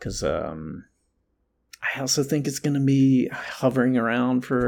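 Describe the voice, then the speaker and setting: Speaking at a fairly slow pace with an American accent, a man is heard on a very clean recording with a silent background. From US South, North Carolina. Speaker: actor and comedy writer. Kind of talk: casual chat.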